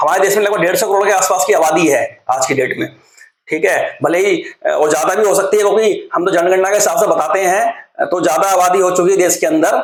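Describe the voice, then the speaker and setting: Ordinary pitch variation in a man's high voice. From Uttarakhand, India (Rudrapur). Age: 30s. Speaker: political commentary vlogger. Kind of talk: monologue vlog commentary. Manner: casual, hesitant with fillers.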